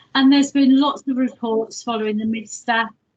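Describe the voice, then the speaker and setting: Somewhat breathy, a woman speaks in a monotone, flat intonation. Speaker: hospital complaints manager. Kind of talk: presentation at online governors meeting.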